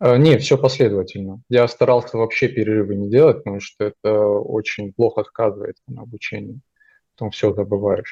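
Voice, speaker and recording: With a quiet background, a man at a medium pitch speaks at a fairly quick pace, somewhat breathy and with fairly even intonation. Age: 20s. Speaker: junior software developer. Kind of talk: interview. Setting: call.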